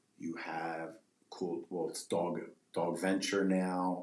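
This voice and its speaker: At a very slow pace, a man speaks in a very deep, low pitch with monotone, flat intonation and audible room echo. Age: 40s. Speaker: pet treat business owner. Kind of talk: casual podcast interview.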